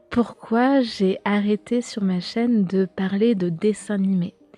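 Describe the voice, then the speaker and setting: Over music in the background, a woman of medium pitch speaks at a very slow pace with fairly even intonation, the sound dry and close with no echo. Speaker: YouTuber and podcaster on occultism and pop culture. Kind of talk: casual solo podcast talk. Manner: hesitant, many fillers.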